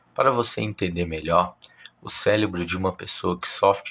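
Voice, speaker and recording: A man speaks with ordinary pitch variation. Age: 30s. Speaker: podcast host. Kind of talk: personal monologue.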